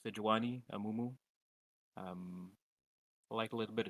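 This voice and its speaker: A man speaks in a French accent at a fairly slow pace. His pitch is fairly low, with ordinary variation. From French-speaking country. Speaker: coaching client, gamer. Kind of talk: casual chat. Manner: halting.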